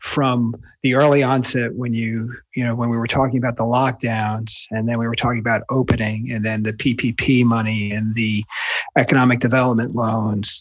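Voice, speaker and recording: On a very clean recording with a silent background, a man with a slight New Jersey accent talks at a medium pitch in a flat, monotone delivery. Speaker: wealth manager and author. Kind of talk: interview answers.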